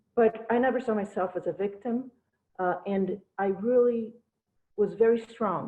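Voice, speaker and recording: A woman with a Spanish accent speaks at a medium pitch with ordinary variation. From Brazil, Cuban parents. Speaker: lawyer and business owner, political campaign speaker. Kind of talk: campaign speech. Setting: video call.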